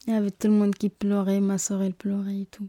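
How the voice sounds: A woman's dark, mellow tone, fast and monotone with flat intonation. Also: medium pitch for a woman.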